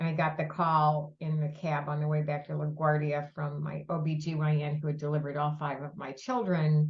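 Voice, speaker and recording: Speaking at a fairly quick pace with hardly any pauses, a woman has a very deep, low, somewhat breathy voice and monotone, flat intonation. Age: 70s. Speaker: breast cancer nonprofit founder. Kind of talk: podcast interview.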